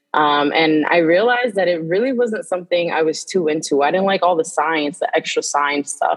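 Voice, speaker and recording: In an American accent, a woman with a plain, everyday voice and a fairly low pitch talks at a moderate pace with hardly any pauses, very even loudness, and ordinary pitch variation. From New York City, the Bronx. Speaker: nutrition educator. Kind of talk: casual interview conversation.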